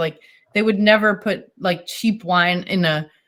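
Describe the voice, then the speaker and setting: A woman at a medium pitch with a slight Boston accent. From US Northeast, Boston. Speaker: wine importer. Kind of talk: casual chat. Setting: video call. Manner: animated.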